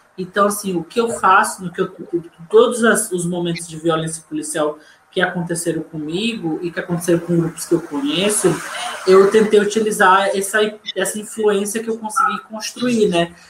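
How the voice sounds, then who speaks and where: High pitch from a man at a moderate pace, fairly even in intonation, with noticeable background noise. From Fortaleza, Ceará, northeast Brazil. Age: 30s. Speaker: poet and community librarian. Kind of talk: online panel discussion.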